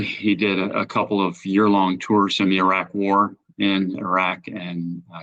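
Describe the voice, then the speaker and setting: With a bright, sharp tone and a fairly low pitch, a man with an American accent speaks against a quiet background. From upstate New York. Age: 60s. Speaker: amateur athlete. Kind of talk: interview. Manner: halting.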